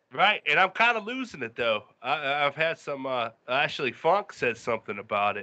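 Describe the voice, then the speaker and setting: Speaking fairly quickly with an American accent, a man with a fairly high pitch swings his pitch very widely. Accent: Pittsburgh accent, heavy but fading slightly. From Western Pennsylvania, Pittsburgh area. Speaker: podcast co-host. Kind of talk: casual chat.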